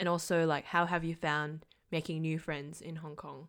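On a very clean recording with a silent background, a woman with an Australian accent speaks fairly slowly in a fairly low pitch with ordinary pitch variation. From Malaysia. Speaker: podcast host. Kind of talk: casual chat.

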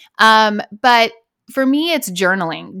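A woman with a bright, sharp tone speaks at a fairly slow pace with ordinary pitch variation. The recording is very clean and silent behind her, with a dry, close sound and no echo. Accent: American. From US West Coast, Los Angeles. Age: 40s. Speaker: wellness coach. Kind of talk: casual chat.

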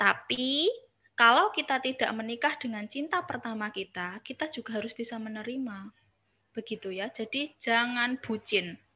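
Her bright, sharp tone sits at a fairly high pitch as the woman talks at a moderate pace with ordinary pitch variation. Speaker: university lecturer in counseling. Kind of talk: online seminar talk. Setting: video call.

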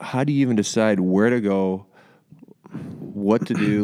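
This man speaks with a Canadian accent. His voice is fairly low in pitch with a dark, mellow tone. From Canada. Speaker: podcast host, former pro baseball player. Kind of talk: casual interview; scripted podcast intro.

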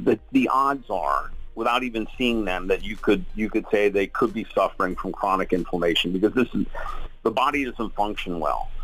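Noticeable background noise sits behind the voice. The pace is moderate. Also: man. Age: 50s. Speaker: wellness company executive. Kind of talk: radio interview. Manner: animated.

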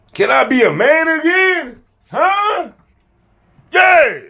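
Raised and projected, a man's extremely high voice moves at a very slow pace, bright and sharp in tone with lively intonation. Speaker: social media creator. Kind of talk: casual vlog monologue. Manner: loud; animated.

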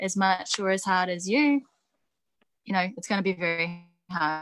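A woman at a medium pitch with ordinary pitch variation and a New Zealand accent, at a moderate pace, in a dry, close sound with no echo. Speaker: professional wrestler and coach. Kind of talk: casual interview. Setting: video call.

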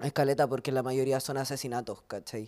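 In a Chilean accent, a man speaks with a dark, mellow tone at medium pitch, his intonation monotone and flat. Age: 20s. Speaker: writer and poet. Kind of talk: panel conversation. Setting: brewery with live audience.

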